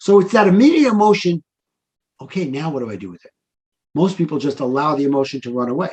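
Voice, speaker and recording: In a New York accent, a man speaks with very wide pitch swings. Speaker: life coach. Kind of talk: interview conversation.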